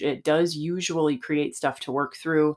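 A woman's very deep, low voice at a moderate pace on a very clean recording with a silent background. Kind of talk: podcast teaching monologue. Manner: conversational, laughs often.

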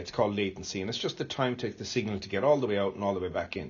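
This man speaks with an Irish accent. His pitch varies in an ordinary way. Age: 50s. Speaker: space centre chief executive. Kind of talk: interview. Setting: on site at space centre.

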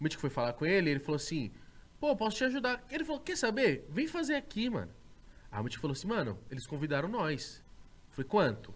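A high-pitched man talks at a very fast pace. His pitch swings very widely. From Osasco, São Paulo state, Brazil. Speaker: podcaster and YouTuber. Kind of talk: casual chat. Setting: studio.

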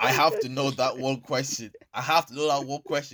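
A man's fairly high, bright and sharp voice with a slight Irish accent, at a fairly quick pace. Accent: Irish English, lighter, with African heritage. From Ireland. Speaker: podcast host. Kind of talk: casual chat. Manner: animated.

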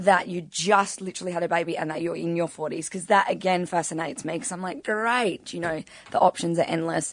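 A woman speaks in an Australian accent at a medium pitch. Her intonation stays fairly even. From Adelaide, Australia. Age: 30s. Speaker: podcast guest. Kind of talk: casual chat.

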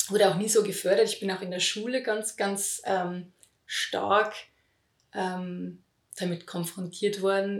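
A woman speaks in an unremarkable speaking voice at a medium pitch. Her intonation stays fairly even. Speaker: voice healing teacher. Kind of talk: interview.

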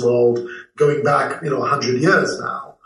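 The man's speech moves at a moderate pace. Room echo is audible around him. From Malaysia and London. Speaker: comic book writer and TV producer. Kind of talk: interview.

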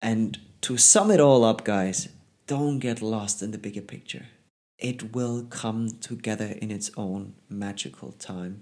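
With a German accent, a man speaks fairly slowly at a fairly low pitch, his pitch varying in an ordinary way and his loudness swinging widely. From Germany. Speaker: podcast host, life coach. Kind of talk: solo motivational monologue. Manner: casual, conversational.

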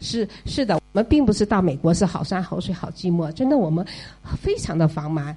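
Fairly quick delivery with lively intonation over noticeable background noise. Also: woman, fairly low pitch for a woman. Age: 50s. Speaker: retired parent of child in US. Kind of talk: audience talk at listener meetup.

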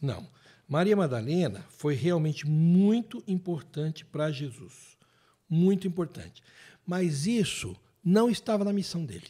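A man's high-pitched voice, dark and mellow in tone, with lively intonation at a fairly slow pace, on a very clean recording with a silent background. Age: 50s. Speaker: theologian and writer. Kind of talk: casual chat. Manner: animated.

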